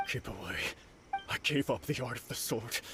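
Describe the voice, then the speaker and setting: Over clear background noise, a man does a put-on character voice at medium pitch and a moderate pace. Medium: video game.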